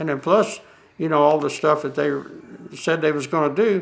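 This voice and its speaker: At a fairly quick pace, a man talks with a fairly high pitch and a Southern US accent. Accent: Southern US (Georgia). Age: 70s. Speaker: landowner affected by waste spreading. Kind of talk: documentary interview. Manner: halting.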